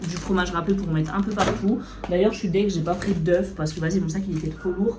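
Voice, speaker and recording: A woman speaks at a fairly quick pace with fairly low pitch and fairly even intonation. Audible room echo and noticeable background noise fill the recording. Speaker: food vlogger. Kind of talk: casual vlog chat. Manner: fast; hesitant with many fillers.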